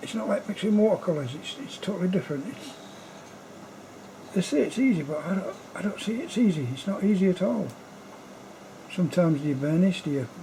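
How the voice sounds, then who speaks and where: Lively intonation at a fairly quick pace, broken by long, frequent pauses, over noticeable background noise. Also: man. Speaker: amateur artist. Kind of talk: casual monologue. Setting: at home late at night. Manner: whispering; halting.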